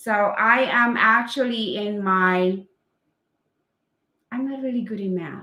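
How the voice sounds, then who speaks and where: With a Filipino accent, a woman speaks at a fairly high pitch in a bright, sharp tone with ordinary pitch variation. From Philippines. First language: Filipino language. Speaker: English teacher. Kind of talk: casual live stream chat. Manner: halting, many fillers.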